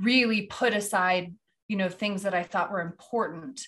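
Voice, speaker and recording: A woman's bright, sharp voice in an American accent, with ordinary pitch variation and a quiet background. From US Midwest, Kansas City area. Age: 30s. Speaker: entrepreneur and podcaster. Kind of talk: casual interview chat. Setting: remote recording from a vacation cabin. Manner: animated.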